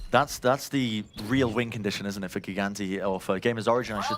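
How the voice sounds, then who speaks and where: A man at a fairly quick pace in an excited tone, over noticeable background noise. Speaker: esports commentator / caster. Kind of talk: live esports match commentary. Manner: fast-paced, excited play-by-play.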